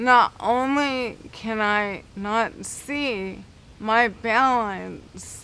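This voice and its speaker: The woman's voice sits fairly high with ordinary pitch variation and a bright, sharp tone. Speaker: guide dog applicant. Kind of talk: interview.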